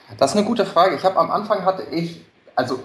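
Noticeable background noise surrounds a man who speaks at a very fast pace. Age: 30s. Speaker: entrepreneur with side business. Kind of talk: interview.

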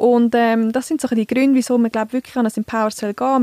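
A dark, mellow tone at a very fast pace comes with monotone, flat intonation and a dry, close sound with no echo. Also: woman. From central Switzerland, Canton Uri. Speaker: communications staff, podcast co-host. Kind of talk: casual chat. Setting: studio. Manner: clear articulation.

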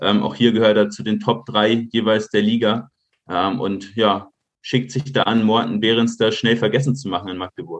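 A man with a plain, everyday voice speaks at a moderate pace in a medium pitch with fairly even intonation. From Munich, Bavaria. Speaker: football data analyst. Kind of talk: podcast interview.

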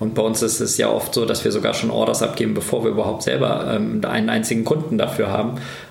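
With audible room echo and noticeable background noise, a man talks at a very fast pace, with hardly any pauses and very even loudness. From Germany, Kassel (northern Hesse). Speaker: company founder and managing director. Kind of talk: interview.

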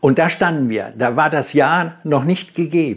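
A man speaks at a fairly slow pace with a fairly high pitch and vocal fry. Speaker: car designer and company founder. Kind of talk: interview. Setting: in person.

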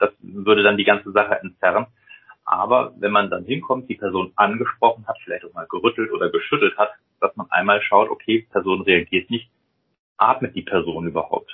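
At a moderate speed, a man talks while his volume rises and falls sharply. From Rhineland, western Germany. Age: 40s. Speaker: senior hospital doctor, cardiologist. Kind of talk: interview, medical explanation.

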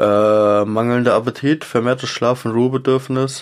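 A man's medium-pitched voice keeps a medium speed and a fairly even intonation. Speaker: cat owner podcast co-host. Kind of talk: casual chat. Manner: partly reading aloud.

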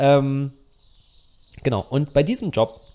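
There's a dark, mellow tone to this man's voice. He talks at a fairly slow pace. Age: 30s. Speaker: cinematographer and gimbal operator. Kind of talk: casual chat. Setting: guest's home.

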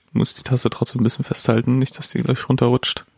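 Here is a man with an unremarkable speaking voice at a medium pitch. He keeps a moderate pace and fairly even intonation. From Dortmund, Germany. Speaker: podcast co-host. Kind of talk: casual chat.

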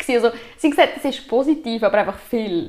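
A woman with a normal speaking voice, a fairly high pitch and ordinary pitch variation. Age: 20s. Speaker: aura reader. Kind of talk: interview.

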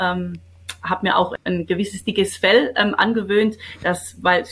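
There is vocal fry in a woman's monotone, flat delivery. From Swabia, Baden-Württemberg (Kirchheim unter Teck / Wendlingen). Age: 50s. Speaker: business owner and association president. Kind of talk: interview.

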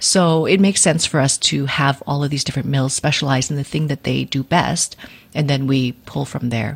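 A woman with a Canadian accent, her very deep, low pitch showing ordinary variation, somewhat breathy at a moderate pace. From Vancouver, western Canada. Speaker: yarn company founder and dyer. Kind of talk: interview.

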